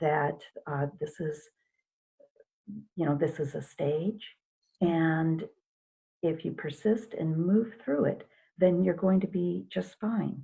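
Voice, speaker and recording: Somewhat breathy and at a very slow pace, a woman with a dark, mellow tone and fairly low pitch speaks with ordinary pitch variation and long, frequent pauses. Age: 60s. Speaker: hypnotherapist. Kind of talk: interview.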